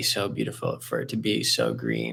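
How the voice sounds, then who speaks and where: Speaking with an American accent, a man keeps a fairly slow pace. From Southern California. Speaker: graduate student and therapist-in-training. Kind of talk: casual interview conversation. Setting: video call. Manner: loud, bubbly; halting, many fillers.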